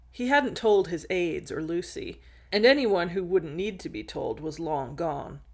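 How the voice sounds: Someone reads aloud in a natural voice.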